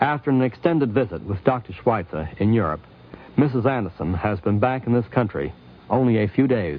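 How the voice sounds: A man with a fairly low pitch talks at a moderate pace. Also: lively intonation.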